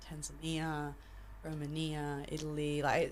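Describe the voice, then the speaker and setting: The woman's voice carries an audible room echo. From expat childhood in many countries, Argentine family. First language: Spanish. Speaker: jiu-jitsu and judo coach. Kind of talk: podcast interview. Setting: studio.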